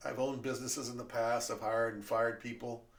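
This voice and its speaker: With audible room echo, a man in an American accent talks at a moderate pace and medium pitch, his intonation monotone and flat. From California. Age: 60s. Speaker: podcast host, former teacher. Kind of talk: casual monologue. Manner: hesitant, many fillers.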